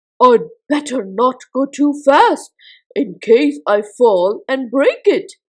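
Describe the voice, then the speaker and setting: A woman's put-on character voice, high-pitched, at a very slow pace. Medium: read story. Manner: eager, impulsive.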